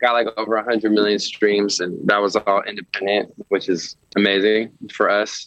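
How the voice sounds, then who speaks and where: Speaking with an American accent, a man with a fairly low pitch talks at a moderate pace in a monotone, flat intonation, with a dry, close sound and no echo. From San Francisco, US West Coast. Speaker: musician. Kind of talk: casual interview.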